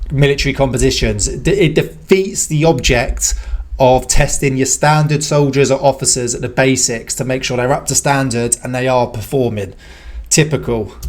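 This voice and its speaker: In a British accent, a man talks at a moderate pace and medium pitch with ordinary pitch variation. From UK. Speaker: British army veteran reacting to videos. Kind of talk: reaction commentary.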